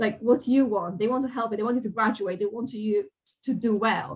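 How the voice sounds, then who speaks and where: A woman with a non-native accent, fairly high pitch, ordinary pitch variation, a somewhat breathy quality and a fairly quick pace. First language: not English. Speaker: games industry professional, college alumna. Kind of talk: Q&A talk. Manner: animated.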